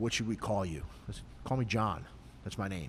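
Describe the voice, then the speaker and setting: Talking at a very fast pace, a man speaks with an American accent and vocal fry. His pitch varies in an ordinary way. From Philadelphia, Pennsylvania. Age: 60s. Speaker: retired police sergeant and martial arts instructor. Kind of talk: casual podcast chat.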